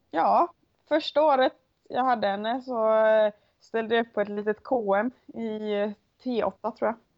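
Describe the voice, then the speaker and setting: Speaking at a fairly slow pace, a woman with a fairly high voice and ordinary pitch variation leaves long, frequent pauses, her loudness swinging widely. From western Sweden, Onsala, Kungsbacka. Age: 20s. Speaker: Icelandic horse rider. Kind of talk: interview. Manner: hesitant, many fillers.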